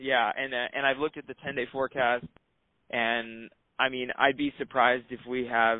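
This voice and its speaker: Speaking with a normal speaking voice, a man holds a medium pitch and fairly even intonation. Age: 30s. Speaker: rock climber. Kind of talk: casual interview.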